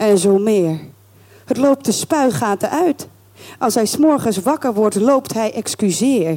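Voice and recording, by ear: Someone reads the text aloud in a natural voice.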